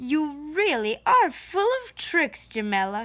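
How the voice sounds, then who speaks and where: A woman cackles in a high, put-on character voice, speaking fairly slowly with very wide pitch swings. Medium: read story. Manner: cackling, lively.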